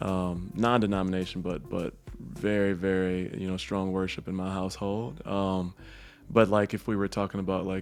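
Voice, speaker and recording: Music plays in the background as a man with a very deep, low pitch speaks in an American accent. His pace is moderate and his intonation fairly even. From Michigan. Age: 40s. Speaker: online content creator. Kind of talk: casual interview.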